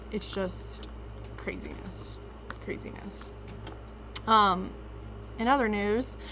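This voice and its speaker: In a room with audible echo, a woman with an American accent speaks at a very slow pace, taking long, frequent pauses. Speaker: vlogger. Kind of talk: casual vlog storytelling.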